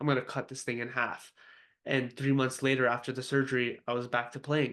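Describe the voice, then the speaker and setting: A man speaks very fast at a medium pitch, his intonation flat and monotone. The background is quiet. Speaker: former semi-professional soccer player. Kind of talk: interview testimony.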